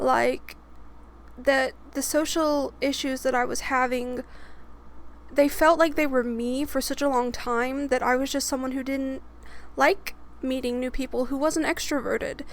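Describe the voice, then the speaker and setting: Her voice is high for a woman, with fairly even intonation and a fairly slow delivery. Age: 20s. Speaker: storytime YouTuber. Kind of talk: casual storytelling monologue.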